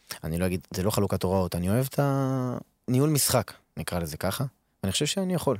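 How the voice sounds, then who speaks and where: In a very clean recording with a silent background and a dry, close sound without echo, a man talks very fast at a fairly low pitch, his voice swinging very widely in pitch. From Israel, Arad. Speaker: professional footballer. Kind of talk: casual interview.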